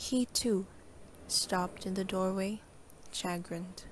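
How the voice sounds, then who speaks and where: A woman's somewhat breathy, medium-pitched voice, very slow and monotone, with flat intonation. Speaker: student. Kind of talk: poetry reading.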